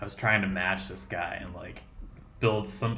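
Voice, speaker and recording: A man speaks with a Colorado accent at a moderate pace. His pitch is fairly low. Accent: Colorado, American. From Colorado, USA. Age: 20s. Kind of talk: casual talk to camera.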